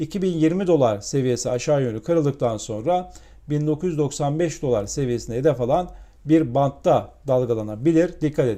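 A man speaks at a moderate pace in a dark, mellow tone. His pitch is fairly high, with ordinary variation. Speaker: financial markets commentator. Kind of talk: market commentary monologue.

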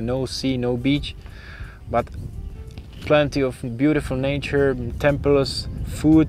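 Over faint music in the background, a man speaks at a fairly slow pace with fairly even intonation, the sound dry with no echo. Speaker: video creator. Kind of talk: casual vlog chat. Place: open country. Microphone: lapel.

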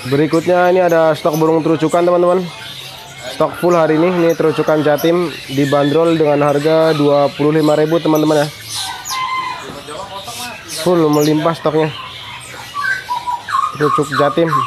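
Speech comes at a moderate pace in monotone, flat intonation, with long, frequent pauses. Noticeable background noise runs underneath. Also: man. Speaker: vlogger surveying bird prices. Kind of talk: casual vlog commentary. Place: market. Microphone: phone near.

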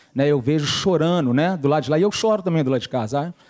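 The sound is dry and close with no echo. Delivery comes at a very fast pace with ordinary pitch variation. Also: man. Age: 40s. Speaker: church cell coordinator. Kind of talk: testimony.

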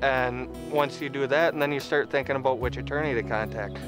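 Clear music plays in the background while a man talks. He keeps a fairly quick pace, and the sound is dry with no echo. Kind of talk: interview answer. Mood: earnest, grateful. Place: street.

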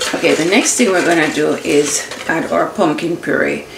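Noticeable background noise sits under a voice that goes along at a fairly slow pace. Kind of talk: tutorial. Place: kitchen. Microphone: phone near.

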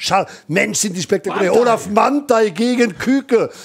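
Animated in tone, a man speaks at a moderate pace with ordinary pitch variation. Noticeable background noise is present. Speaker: motorsport commentator. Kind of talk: live commentary.

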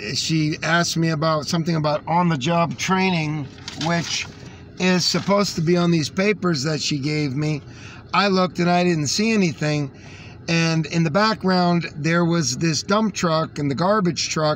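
At a moderate pace, a man with a high voice speaks at very even loudness with ordinary pitch variation, the sound dry with no echo and light background noise. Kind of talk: casual vlog chat. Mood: frustrated, indignant. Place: car. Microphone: phone near.

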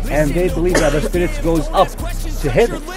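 A man talks at a moderate pace. Clear music is heard in the background. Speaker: tour guide. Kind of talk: guided tour explanation. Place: open country. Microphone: phone near.

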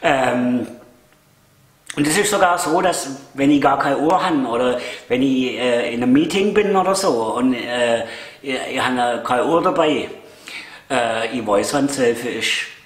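In a room with audible echo, a man with a Swabian accent speaks at a medium pitch and fairly slow pace, his intonation lively and his pauses long and frequent. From Swabia, Germany. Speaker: vlogger. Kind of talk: casual talk to camera. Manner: hesitant, chatty. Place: home room. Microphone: camera far.

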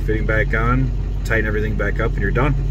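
A man talking very fast, dry sound with no echo, loud background noise. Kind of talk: casual vlog chat. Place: car. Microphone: phone near.

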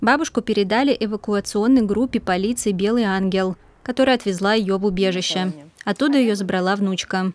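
In a plain, everyday voice, a woman speaks at a medium pitch and very even loudness, the sound dry and close with no echo. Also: ordinary pitch variation, fairly quick pace. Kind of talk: TV news report narration.

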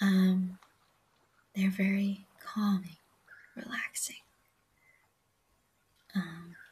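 A woman at medium pitch speaks with a husky, rough edge and little pitch movement. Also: slightly mellow tone.

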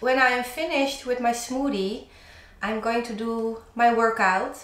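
A woman's high voice at a fairly slow pace, with audible room echo. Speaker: DIY vlogger. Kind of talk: casual vlog chat. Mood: cheerful, laughing often. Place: home room. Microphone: camera far.

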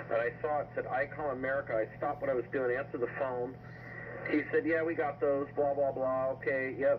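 A man's pace is fairly quick. Behind him, background noise is noticeable. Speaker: ham radio operator. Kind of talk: casual radio conversation. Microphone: two way radio.

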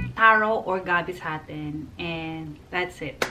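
Clear music sounds behind the woman as she talks. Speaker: home cooking vlogger. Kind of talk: casual vlog chat. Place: kitchen. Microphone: phone near.

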